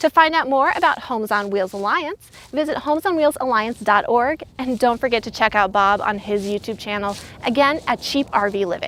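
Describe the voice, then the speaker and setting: With an unremarkable speaking voice, a woman talks at a fairly quick pace, her pitch fairly high and her intonation lively. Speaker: field reporter. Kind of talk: news field report. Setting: outdoors.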